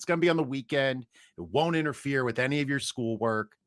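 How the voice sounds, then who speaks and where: Lively intonation at a fairly quick pace on a very clean recording with a silent background. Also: man. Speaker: teacher and fantasy football podcaster. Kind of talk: casual interview chat. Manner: same as on podcasts, teaching voice.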